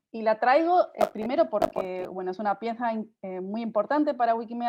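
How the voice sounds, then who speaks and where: Dark, mellow tone in a woman's fairly high voice, with ordinary pitch variation. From Spain, Tarragona. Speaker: nonprofit director presenting a workshop. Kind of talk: online workshop presentation. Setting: video call. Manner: fast.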